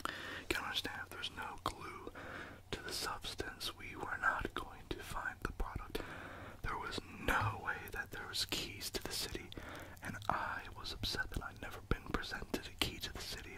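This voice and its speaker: The speaker is whispering. Noticeable background noise runs underneath. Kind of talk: ASMR whispering. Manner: whispered.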